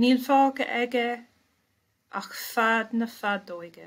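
In an Irish accent, a woman talks with fairly even intonation. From Ireland. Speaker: poet. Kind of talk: poetry reading. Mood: calm, measured. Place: home room. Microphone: webcam.

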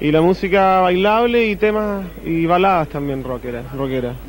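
Over light background noise, a man talks at a moderate pace with a high pitch and ordinary pitch variation. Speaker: rock songwriter. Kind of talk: TV interview. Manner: halting. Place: cafe. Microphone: handheld.

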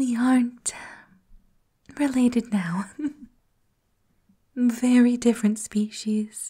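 Soft-spoken whispering at a very slow pace against a quiet background. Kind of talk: character roleplay monologue addressing listener. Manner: soft whispered flirty roleplay voice.

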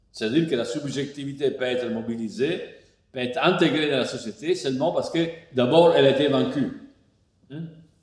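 In a room with audible echo and a quiet background, a man with a fairly high pitch talks at a fairly quick pace, using ordinary pitch variation and long, frequent pauses. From Italy. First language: Italian (speaking French). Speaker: philosopher; philosopher lecturer. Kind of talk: lecture partly read from a text. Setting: online lecture. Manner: hesitant, many fillers (euh, hein). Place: home room.

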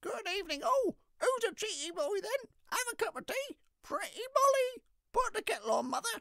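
A man adopts a put-on character voice pitched extremely high. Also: moderate pace. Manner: chirpy, chattering.

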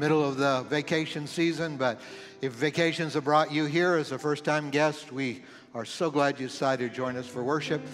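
With faint music in the background, a man talks with fairly even intonation. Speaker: pastor. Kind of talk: church announcements and welcome. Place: church. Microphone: headset.

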